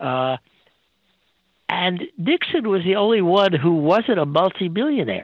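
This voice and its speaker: A man's high-pitched voice with lively intonation, a fairly slow pace and long, frequent pauses. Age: 80s+. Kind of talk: interview. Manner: halting.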